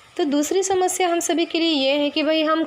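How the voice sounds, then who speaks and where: A woman speaks at a moderate pace, with noticeable background noise behind her. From Maharashtra, India. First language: Marathi (speaking Hindi). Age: 20s. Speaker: spiritual teacher (sadhvi). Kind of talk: spiritual talk.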